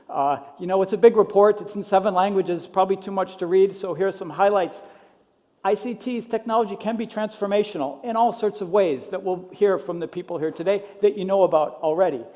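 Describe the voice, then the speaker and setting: Speaking at a fairly quick pace with a Minnesota accent, a man uses a high pitch and ordinary pitch variation. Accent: American, Minnesota. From US Midwest, Minnesota. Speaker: education technology policy specialist. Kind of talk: conference talk.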